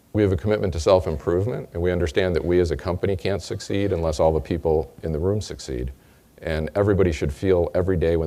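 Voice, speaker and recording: A very fast-paced man with an American accent. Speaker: company executive. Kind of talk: sales kickoff speech.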